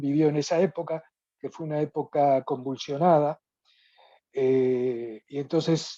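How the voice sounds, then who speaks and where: With a very deep, low pitch and a dark, mellow tone, a woman speaks in a dry, close recording with no echo and a quiet background. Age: 70s. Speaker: participant in online study group. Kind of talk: question in virtual talk. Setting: video call. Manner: halting, many fillers. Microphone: speaking via cellphone.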